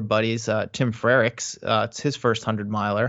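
At a moderate pace, a man with a medium pitch talks with fairly even intonation. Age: 30s. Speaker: running coach and writer. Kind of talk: casual interview. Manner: hesitant with fillers.

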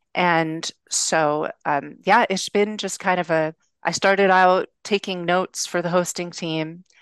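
A woman with an American accent speaks fairly slowly in a fairly low voice with fairly even intonation. The sound is dry and close with no echo, over a quiet background. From Los Angeles, US. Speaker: web developer. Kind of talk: casual interview chat.

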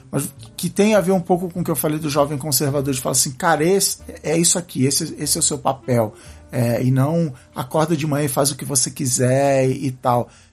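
With music in the background, a man talks at a fairly quick pace in a fairly high voice with ordinary pitch variation. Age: 40s. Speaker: podcaster. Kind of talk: casual chat. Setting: coworking office. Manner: halting.

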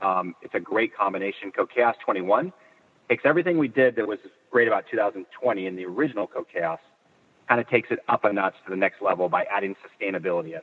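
With a Californian accent, a man talks very fast in a fairly low voice with lively intonation. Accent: Californian American. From Northern California. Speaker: footwear industry executive. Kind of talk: interview. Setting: in a car. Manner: hesitant, many fillers.

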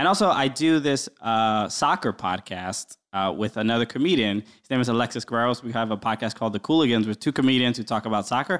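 A man with an American accent talks at a very fast pace with hardly any pauses and big swings in loudness. His medium pitch shows ordinary variation against a quiet background. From Brooklyn, New York. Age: 30s. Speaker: comedian. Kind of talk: casual chat.

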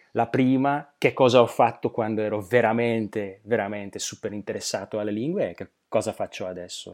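A man with a Slovak accent and a dark, mellow tone talks at a moderate pace with ordinary pitch variation, on a very clean recording with a silent background. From Slovakia. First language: Slovak (speaking Italian). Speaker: polyglot, translator and interpreter. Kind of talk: interview. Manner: halting, with fillers.

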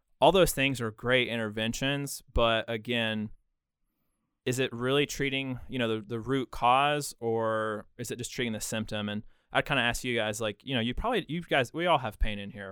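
Here is a man with an unremarkable speaking voice at a medium pitch. His pitch varies in an ordinary way, and his pace is moderate. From Western North Carolina, Bryson City. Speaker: physical therapist. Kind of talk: casual interview.

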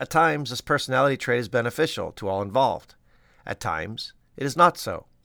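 Talking at a very fast pace, a man uses a medium pitch, a bright, sharp tone and lively intonation, with some vocal fry. The sound is dry and close, with no echo. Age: 50s. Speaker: pediatrician and podcast host. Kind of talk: scripted narration.

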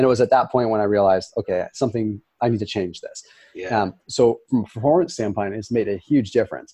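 Talking very fast with a Californian accent, a man has a medium pitch, a dark, mellow tone and ordinary pitch variation. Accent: American (Californian). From Northern California (Sonoma). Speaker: health expert. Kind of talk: interview. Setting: studio, in person.

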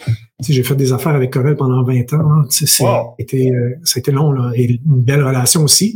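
With a Quebec accent, a man talks at a medium pitch with fairly even intonation and a fairly slow pace. He leaves hardly any pauses and keeps his loudness very even. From Quebec, Bas-Saint-Laurent. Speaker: tech entrepreneur and investor. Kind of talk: interview.

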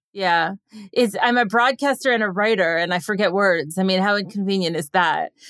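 Speaking at a fairly quick pace, a woman uses a normal speaking voice at a medium pitch with ordinary pitch variation. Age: 40s. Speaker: podcast host and radio broadcaster. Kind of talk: casual chat.

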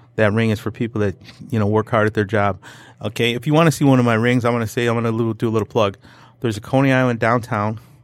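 A man with a Detroit accent and a medium pitch. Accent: Detroit-area American English. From Detroit area, Michigan. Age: 50s. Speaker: drywall contractor. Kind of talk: casual interview. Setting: studio.

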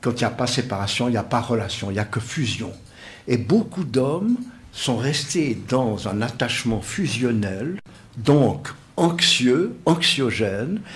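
Somewhat breathy and very slow, the voice carries lively intonation amid audible room echo. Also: man, medium pitch for a man. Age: old. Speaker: psychosociologist. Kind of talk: radio panel discussion. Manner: formal.

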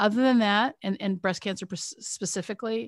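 A woman speaks fairly quickly, with a quiet background behind her. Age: 50s. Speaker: retired surgeon and menopause expert. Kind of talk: interview. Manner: repetitive restarts.

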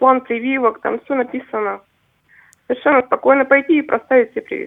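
A woman talks fairly quickly in a high-pitched voice. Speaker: caller, mother. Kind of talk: call-in. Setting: phone call.

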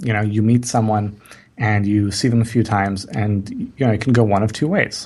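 A man with a plain, everyday voice, fairly low in pitch, moves at a fairly quick pace with fairly even intonation and very even loudness. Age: 30s. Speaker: marketing entrepreneur. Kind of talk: interview. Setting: podcast interview.

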